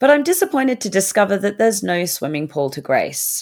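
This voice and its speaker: With an Australian accent, a woman speaks in lively intonation on a very clean recording with a silent background. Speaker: podcast host. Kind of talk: scripted narration.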